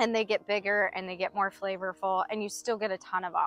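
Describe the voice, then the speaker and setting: A woman at a moderate pace, dry sound with no echo, faint music in the background. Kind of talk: tutorial. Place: garden.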